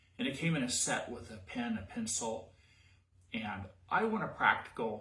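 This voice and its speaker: Audible room echo surrounds a man speaking with an American accent and ordinary pitch variation. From US, West Virginia. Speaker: cosplay costume maker. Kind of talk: tutorial. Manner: casual, halting.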